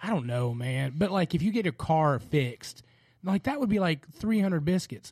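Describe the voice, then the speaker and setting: With a Southern US accent, a man speaks in a fairly high pitch with very wide pitch swings. His loudness stays very even. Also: moderate pace. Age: 40s. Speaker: podcast host. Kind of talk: casual chat; reading aloud.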